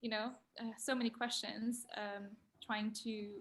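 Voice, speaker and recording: A woman with a non-native accent speaks at a moderate pace. Her fairly high voice is somewhat breathy. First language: not English. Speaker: design graduate. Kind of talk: panel talk. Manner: halting.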